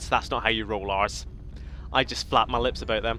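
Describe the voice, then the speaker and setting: A man is speaking with noticeable background noise behind him. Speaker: gaming video creator. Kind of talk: let's play commentary. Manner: animated.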